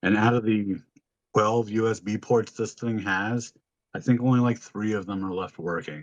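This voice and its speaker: The delivery comes in an unremarkable speaking voice at a moderate pace, with fairly even intonation. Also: man, fairly low pitch for a man. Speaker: podcast co-host and streamer. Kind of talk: casual chat.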